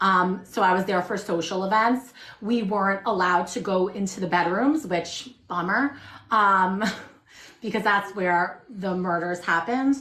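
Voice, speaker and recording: At a fairly slow pace, a woman with a Long Island accent speaks at a medium pitch with ordinary pitch variation. There is noticeable background noise. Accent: true shore Long Island. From Long Island, New York. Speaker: shop owner. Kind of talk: casual chat. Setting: livestream.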